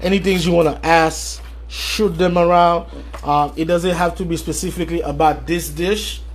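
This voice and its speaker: A man speaks at a moderate pace. There is audible echo from the room. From Haiti, Port-au-Prince. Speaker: chef. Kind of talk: live cooking demonstration. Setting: livestream. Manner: casual, with many fillers.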